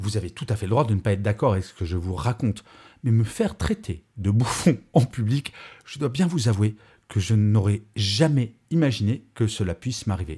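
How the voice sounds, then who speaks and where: Male voice, fairly low in pitch and somewhat breathy, with a dark, mellow tone and lively intonation over a quiet background. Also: moderate pace. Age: 50s. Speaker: podcaster and conference speaker; podcaster, conference speaker. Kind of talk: podcast monologue. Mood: earnest, reflective, upbeat. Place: home room. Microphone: studio mic.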